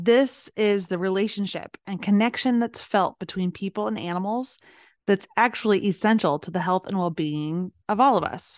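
A woman speaks in a plain, everyday voice at medium pitch and a moderate pace, with ordinary pitch variation, a dry, close sound with no echo and a quiet background. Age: 40s. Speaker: podcast host and pet business coach. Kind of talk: solo business podcast monologue.

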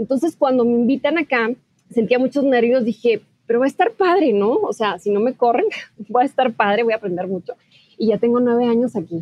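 With lively intonation and a high pitch, a woman delivers her words at a fairly quick pace. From Mexico, Ciudad Juárez, Chihuahua. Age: 30s. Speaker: TV news journalist. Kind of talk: interview.

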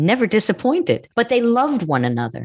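A woman with a New York accent in a very clean recording with a silent background. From US Northeast, Long Island, New York. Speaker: TV writer, producer and former stand-up comedian. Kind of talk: casual interview chat.

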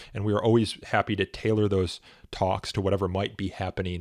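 This man has an unremarkable speaking voice, fairly low in pitch, delivered at a fairly quick pace with fairly even intonation. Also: dry, close sound with no echo, very clean recording, silent background. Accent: American. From Chicago area (Elmhurst, Illinois). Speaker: advocacy organization executive. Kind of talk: radio interview.

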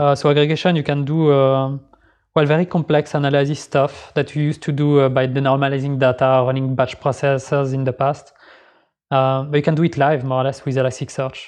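At a fairly quick pace, a man talks with a fairly high pitch and monotone, flat intonation. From Geneva, Switzerland. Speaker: software developer. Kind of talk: casual interview. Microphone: slightly crackly track.

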